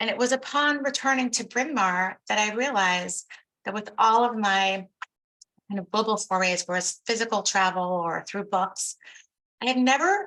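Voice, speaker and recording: A woman in an American accent speaks at a moderate pace with a bright, sharp tone, a fairly high pitch, and ordinary pitch variation. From born in Haiti, raised in US from elementary school. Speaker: historian, professor. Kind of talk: talk / presentation.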